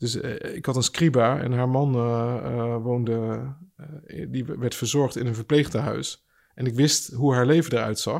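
A man speaks at a medium pitch and a fairly slow pace, his intonation fairly even. The recording is very clean with a silent background. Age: 40s. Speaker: pastor. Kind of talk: casual chat. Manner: halting.

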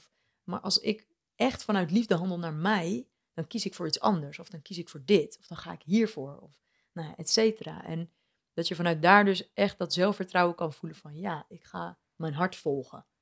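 A woman with an ordinary speaking voice, fairly low in pitch, at a moderate pace. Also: big swings in loudness, dry, close sound with no echo. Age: young. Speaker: life coach. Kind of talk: casual interview. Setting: at her home.

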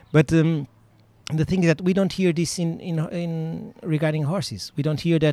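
A fairly high-pitched man with a Portuguese accent and a dark, mellow tone. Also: fairly even intonation, moderate pace. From Portugal, Sintra near Lisbon. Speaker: dressage judge and riding club owner. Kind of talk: interview. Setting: outdoors at a riding club.

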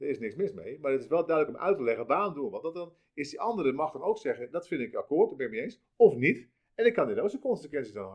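Talking at a very fast pace, a man's voice shows big swings in loudness. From South Holland, near Rotterdam. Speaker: franchise founder. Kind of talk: interview. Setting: office.

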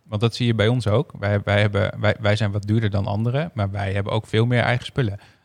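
On a very clean recording with a silent background and a dry, close sound with no echo, a man with a fairly low pitch talks at a very fast pace with fairly even intonation and hardly any pauses. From Groningen, Netherlands. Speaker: tech company CTO, co-host. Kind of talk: casual chat.

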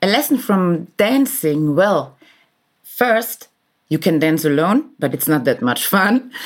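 In a German accent, a woman speaks at a very slow pace. Her medium pitch moves in very wide swings. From Austria, Vienna. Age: 40s. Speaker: business executive. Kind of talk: interview. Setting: hotel room, remote recording.

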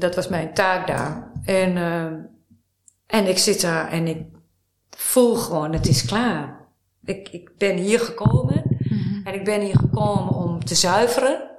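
Audible room echo hangs around a woman speaking at a very slow pace. Her medium-pitched voice has lively intonation. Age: 50s. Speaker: writer and life-course therapist. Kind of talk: interview.

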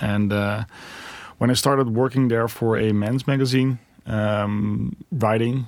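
A man with a Dutch accent speaks at a fairly slow pace in a medium pitch. His loudness stays very even and his intonation fairly even. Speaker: tech company founder and CEO. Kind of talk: interview. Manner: hesitant with many fillers.

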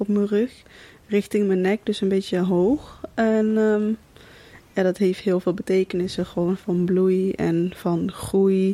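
The voice has a dark, mellow tone and monotone, flat intonation. Its pace is very slow. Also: woman. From Netherlands, Kaatsheuvel (North Brabant), with Thai roots. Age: 20s. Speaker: recent graduate, tailor. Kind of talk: casual interview. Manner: hesitant, many fillers.

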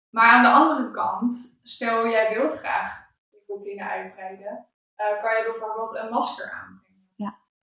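A woman with an unremarkable speaking voice, fairly high in pitch, at a fairly slow pace. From Netherlands. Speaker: skin therapist. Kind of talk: casual conversational interview. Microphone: poorly set mic, harder to understand.

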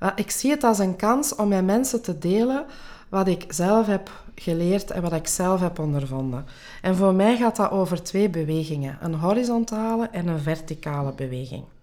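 With a dark, mellow tone and lively intonation, a woman speaks at a medium pitch and a moderate pace. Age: 40s. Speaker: life coach and podcast host. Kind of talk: interview answering questions.

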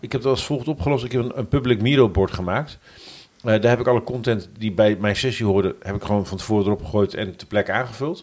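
The man talks at a very fast pace, with medium pitch and ordinary pitch variation. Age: 40s. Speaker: podcast host. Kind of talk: casual chat.

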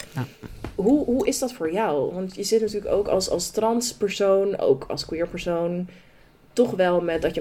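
A woman with a dark, mellow tone and medium pitch speaks at a fairly slow pace with lively intonation. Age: 20s. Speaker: podcast co-host. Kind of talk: casual chat.

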